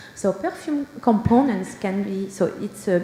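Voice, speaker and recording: A woman speaks with a Belgian French accent. Background noise is noticeable. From Belgium. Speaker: perfumer and senior scientist. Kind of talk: conference talk.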